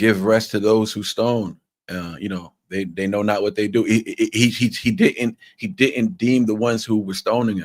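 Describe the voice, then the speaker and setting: With a New York accent, a man of fairly low pitch talks at a moderate pace with ordinary pitch variation. The recording is very clean, with a silent background. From New York, Long Island. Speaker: podcast host. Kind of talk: casual interview chat. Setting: live stream.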